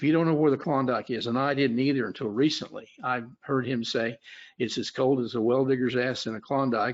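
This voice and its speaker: At a fairly quick pace, a man with an Oklahoma accent talks at a medium pitch. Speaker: futures trader and trading educator. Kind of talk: webinar presentation. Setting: webinar. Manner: halting, many fillers.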